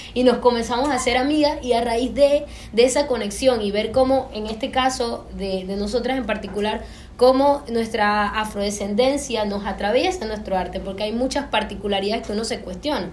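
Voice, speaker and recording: A woman with a fairly high pitch talks at a fairly quick pace with ordinary pitch variation, and audible room echo surrounds her voice. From Panama. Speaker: filmmaker. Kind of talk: panel discussion.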